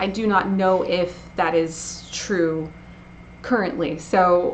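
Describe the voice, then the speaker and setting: With noticeable background noise and audible room echo, a woman talks in a fairly low voice. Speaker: breed association representative. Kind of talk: presentation. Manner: halting.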